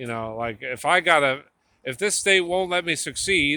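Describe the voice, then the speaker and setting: A man with a New Jersey accent, a fairly high pitch, a bright, sharp tone, and a moderate pace. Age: 50s. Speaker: tattoo artist vlogger. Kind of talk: casual vlog monologue. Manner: halting, repetitive.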